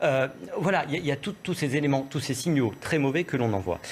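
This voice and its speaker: Here a man talks at a medium pitch and a fairly quick pace. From France, Seine-Saint-Denis. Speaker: political commentator. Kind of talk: TV panel debate. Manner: halting, many repetitions.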